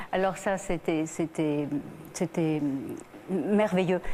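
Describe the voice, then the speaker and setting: Very slowly, a woman talks at a medium pitch with fairly even intonation. Noticeable background noise runs behind her. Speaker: actress and singer. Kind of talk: TV talk show interview answer.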